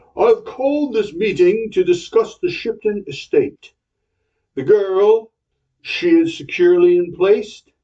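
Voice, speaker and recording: Quietly and at a fairly slow pace, a man performs a put-on character voice, high in pitch with very wide pitch swings. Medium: read story. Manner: quietly commanding.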